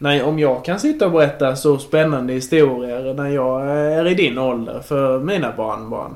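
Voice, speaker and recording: A man with a fairly high voice talks at a moderate pace with ordinary pitch variation. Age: 20s. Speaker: podcast host interviewing his grandmother. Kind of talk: casual chat. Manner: halting.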